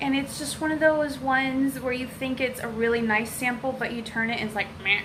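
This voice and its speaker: A high-pitched woman with an American accent and ordinary pitch variation, amid audible room echo and noticeable background noise. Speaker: beauty vlogger. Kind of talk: unboxing video. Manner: animated.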